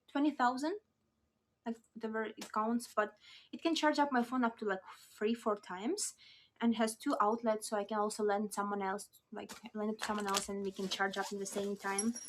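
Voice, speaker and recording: This woman talks fairly quickly in a non-native accent, her voice fairly high and bright with a sharp edge. Her pitch moves in an ordinary way. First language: not English. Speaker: lifestyle vlogger. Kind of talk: casual show-and-tell vlog. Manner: chatty, hesitant with fillers.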